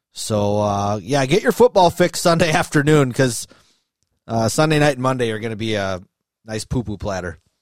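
A man with an American accent talks at a moderate pace in an unremarkable speaking voice. His medium pitch carries lively intonation. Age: 30s. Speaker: sports podcast host. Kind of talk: casual chat.

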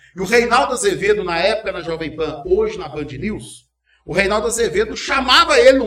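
An extremely high male voice with very wide pitch swings, at a fairly quick pace. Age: 40s. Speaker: journalist and radio news anchor. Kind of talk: casual interview chat. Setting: studio, live streamed podcast.

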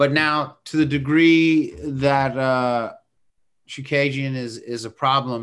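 A man talks in an ordinary speaking voice at medium pitch. His intonation stays fairly even. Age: 50s. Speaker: podcast co-host, martial arts analyst. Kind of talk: casual chat.

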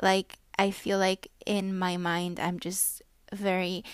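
A woman with a non-native accent speaks at a medium pitch, recorded very cleanly against a silent background. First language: not English. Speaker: podcast host. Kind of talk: solo monologue. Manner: casual, halting with fillers.

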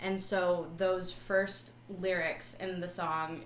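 A woman's medium-pitched voice comes through noticeable background noise. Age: young. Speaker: music student and recording artist. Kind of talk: interview.

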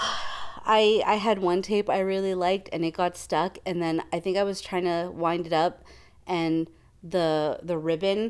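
Speaking with a Canadian accent, a woman keeps a fairly slow pace, very even loudness and monotone, flat intonation. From Canada. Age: 30s. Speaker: podcast co-host. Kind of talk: casual chat.

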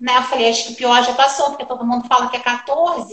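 A woman speaks at a high pitch with fairly even intonation. Room echo is audible. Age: 40s. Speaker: makeup artist and direct sales director. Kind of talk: personal testimony in a live stream interview.

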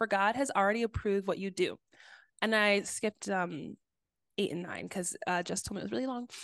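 Recorded dry and close with no echo against a quiet background, a woman speaks in an ordinary speaking voice at a medium pitch with ordinary pitch variation. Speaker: podcast co-host. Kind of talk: casual chat.

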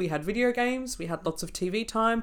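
A woman speaks in an Australian accent with ordinary pitch variation. The recording is very clean, with a silent background. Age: 20s. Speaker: naturopath podcast co-host. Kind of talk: casual chat.

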